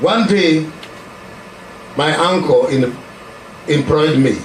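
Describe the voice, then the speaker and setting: A man at a very slow pace, with noticeable background noise and audible room echo. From Kenya. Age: 70s. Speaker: preacher. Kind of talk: testimony. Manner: halting.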